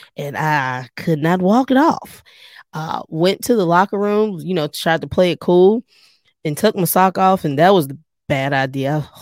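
Speaking with a fairly low pitch, a woman uses an animated tone and lively intonation at a fairly slow pace. The recording is very clean with a silent background, dry and close with no echo. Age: 40s. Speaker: podcast host and personal trainer. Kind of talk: casual solo podcast talk. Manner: animated, laughing often.

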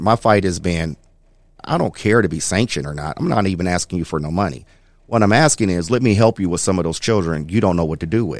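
A man with an American accent talks at a very fast pace in a very deep, low pitch. The recording is very clean, with a silent background. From Toledo, Ohio. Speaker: executive director of a youth mentorship program. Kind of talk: casual interview chat. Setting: studio.

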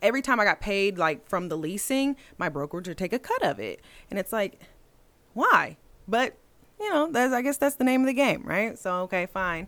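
Fairly high in pitch, a woman speaks at a moderate pace. Her pitch swings very widely. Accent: American. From Indiana, US Midwest. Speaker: real estate broker. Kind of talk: interview. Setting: studio.

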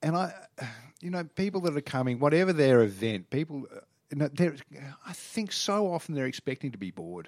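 In a very clean recording with a silent background, a man with an Australian accent and a fairly high voice speaks at a fairly quick pace, his pitch swinging very widely between long, frequent pauses. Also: dry, close sound with no echo. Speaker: TV travel reporter and presenter. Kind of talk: casual interview.

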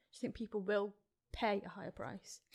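A woman with a fairly high pitch talks at a fairly quick pace in a plain, everyday voice. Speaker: co-host. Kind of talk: casual interview chat.

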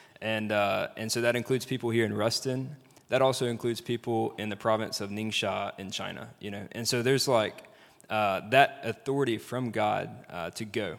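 A man speaks with a Southern US accent at a medium pitch. His pace is moderate and his intonation fairly even. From Mississippi, Jackson area. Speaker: former missionary. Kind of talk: panel interview. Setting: stage with audience.

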